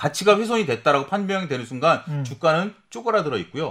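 Talking at a very fast pace, a man uses very wide pitch swings and vocal fry. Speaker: economics research institute head, former securities firm. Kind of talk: casual studio talk on investing. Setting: studio. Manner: animated.

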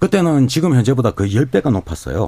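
A man's voice with very wide pitch swings. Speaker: nuclear safety researcher. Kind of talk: expert interview.

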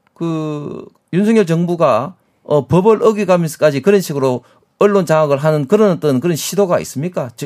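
A man with a high pitch talks at a moderate pace, using ordinary pitch variation. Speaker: politician. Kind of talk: heated debate. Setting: studio. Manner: halting, many filler sounds.

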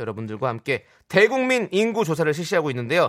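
On a very clean recording with a silent background, a man talks at a fairly quick pace in a high pitch with very wide pitch swings. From Incheon, South Korea. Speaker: radio host. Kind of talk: casual chat.

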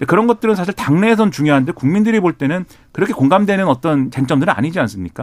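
Here a man talks at a very fast pace. His pitch is high and his intonation lively. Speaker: political commentator. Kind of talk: radio current affairs commentary. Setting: radio studio.

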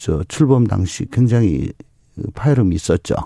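A man's dark, mellow tone comes through at a fairly slow pace. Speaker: politician. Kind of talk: political interview.

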